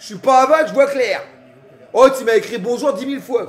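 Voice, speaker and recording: A man speaks at an extremely high pitch in an animated tone. Noticeable background noise is present. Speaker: streamer. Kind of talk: live football reaction stream, casual chat. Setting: at home on his couch. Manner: animated, shouting at the match.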